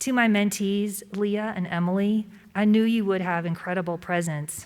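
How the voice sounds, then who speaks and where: Her voice shaky, a woman speaks at a medium pitch with fairly even intonation. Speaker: award recipient, business executive. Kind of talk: acceptance speech. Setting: event room with live and virtual audience. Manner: shaky voice.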